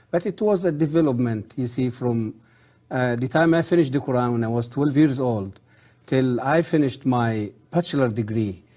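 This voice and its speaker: In a quiet background, a man with a dark, mellow tone talks at a moderate pace and medium pitch, with ordinary pitch variation. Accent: Arabic. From Egypt, south part. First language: Arabic. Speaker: former professor of Islamic history. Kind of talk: interview. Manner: hesitant, many fillers.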